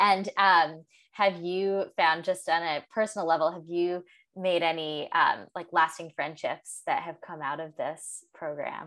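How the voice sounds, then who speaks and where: In a normal speaking voice, a woman speaks at a fairly slow pace with fairly even intonation and a fairly low pitch. The recording is very clean, with a silent background. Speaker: podcast host and Montessori guide. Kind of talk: interview conversation.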